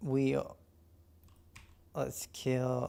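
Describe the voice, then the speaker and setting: A man talks at a very slow pace. His voice sits at a medium pitch with a dark, mellow tone. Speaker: filmmaker and VFX artist streaming his work. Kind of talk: casual live stream while working. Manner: halting, many fillers; mumbling.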